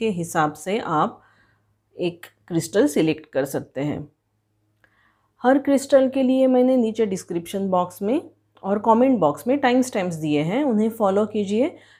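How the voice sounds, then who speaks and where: Lively intonation marks this woman's dark, mellow tone. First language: Marathi (speaking Hindi). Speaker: tarot reader. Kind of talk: tarot reading for viewers.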